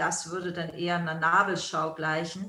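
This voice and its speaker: Noticeable background noise lies under a woman speaking in a fairly low pitch. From Germany. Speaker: yoga school founder and teacher, author. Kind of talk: interview.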